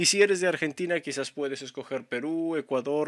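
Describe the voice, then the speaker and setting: The recording is very clean with a silent background, and the sound is dry and close with no echo. A man with an unremarkable speaking voice talks at a moderate pace, his fairly high pitch showing ordinary variation. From Peru. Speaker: tech YouTuber. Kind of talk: tutorial.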